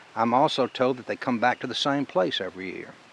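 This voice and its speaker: Lively intonation and a moderate pace from a man with a normal speaking voice at medium pitch. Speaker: storyteller, reading his own story. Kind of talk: storytelling reading.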